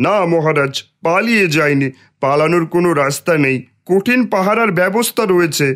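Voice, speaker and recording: A man's cartoonish character voice, high in pitch and at a fairly slow pace. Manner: deferential to superiors.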